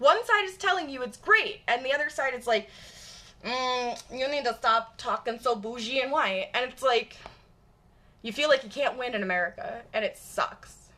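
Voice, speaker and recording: A woman with a high voice speaks in a raised, projected, animated tone at a moderate pace, her intonation lively and her loudness swinging widely over noticeable background noise. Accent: Michigan. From US Midwest, Michigan suburbs. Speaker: live streamer. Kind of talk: live stream chat. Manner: casual, animated.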